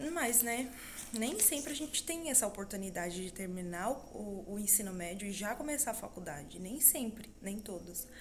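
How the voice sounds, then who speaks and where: A soft-spoken woman with a fairly high pitch talks at a moderate pace with lively intonation. Audible room echo surrounds her voice. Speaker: vlogger, mother and student. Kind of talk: casual vlog monologue. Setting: at home.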